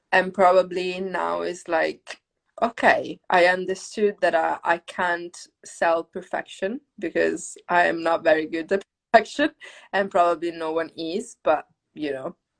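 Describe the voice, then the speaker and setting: Recorded dry and close with no echo, a woman with a plain, everyday voice speaks fairly slowly at a fairly low pitch, her intonation fairly even. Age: 20s. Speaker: yoga teacher and dancer. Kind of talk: casual chat. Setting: Instagram live video stream.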